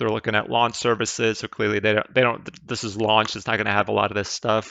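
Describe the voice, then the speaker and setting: With a European accent, a man talks very fast in a medium-pitched voice with vocal fry and fairly even intonation. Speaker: investing YouTuber. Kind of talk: casual investment analysis commentary. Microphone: mediocre mic, new mic not yet set up.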